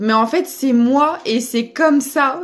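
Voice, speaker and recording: With music playing in the background, a woman speaks very slowly in a high pitch, her voice making very wide pitch swings. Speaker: tarot reader. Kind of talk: spiritual guidance reading. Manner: loud.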